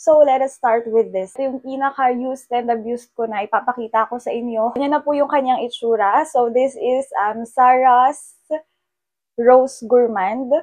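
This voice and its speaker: A high-pitched woman's voice at a moderate pace, with ordinary pitch variation. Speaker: beauty content creator. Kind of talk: product review vlog. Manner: casual, chatty with fillers.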